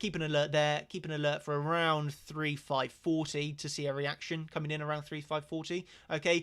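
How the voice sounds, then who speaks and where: The pace is fairly quick. The recording is very clean, with a silent background. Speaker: trading educator. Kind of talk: live stream lesson. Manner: fast.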